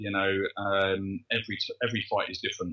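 With an English accent, a man talks in a fairly low pitch. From England. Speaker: kickboxing referee. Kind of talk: interview. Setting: remote call from his living room.

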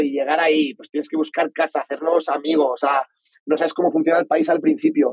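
With a Valencian accent, a man talks in a fairly high pitch and a flat, monotone delivery, the sound dry and close with no echo. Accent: Spanish from Spain (Valencia). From Spain (Valencia). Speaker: entrepreneur. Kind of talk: interview.

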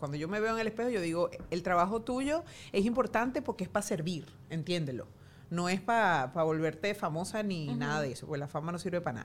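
The pace is very fast. The intonation is lively. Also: woman, fairly low pitch for a woman. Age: 40s. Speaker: journalist. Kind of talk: casual chat.

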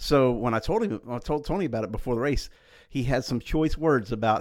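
Delivered at a very fast pace with lively intonation, the speech comes in a Southeast Texas accent on a very clean recording with a silent background. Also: man. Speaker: motorsports journalist. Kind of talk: casual chat.

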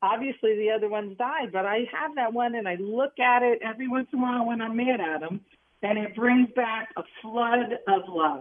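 Hardly pausing, a woman talks at a moderate pace in a normal speaking voice. Her pitch is fairly high and varies in an ordinary way. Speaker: caller. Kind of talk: call-in romantic story. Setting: phone call.

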